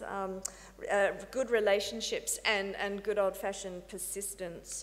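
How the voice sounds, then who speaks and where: A woman's monotone, flat delivery in an Australian accent, with audible room echo. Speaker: research facility director. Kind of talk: conference talk. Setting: conference panel. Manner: hesitant with fillers.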